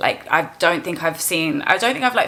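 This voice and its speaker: Amid noticeable background noise, a woman speaks with an animated tone and a fairly low pitch. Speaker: vlogger and music interviewer. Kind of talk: casual vlog monologue. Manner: fast.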